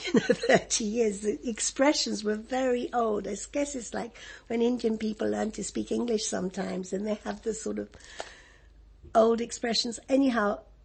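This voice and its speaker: Vocal fry from a woman with an English accent, fairly high in pitch, at a moderate pace with ordinary pitch variation. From Egypt. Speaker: refugee interviewee. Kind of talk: oral history interview. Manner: halting.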